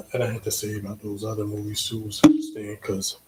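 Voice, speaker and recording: The speaker has a relaxed tone, a somewhat breathy sound, and a fairly quick pace. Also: man. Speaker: DJ and livestream host. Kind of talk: casual livestream talk. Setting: home livestream on computer. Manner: relaxed, with many fillers.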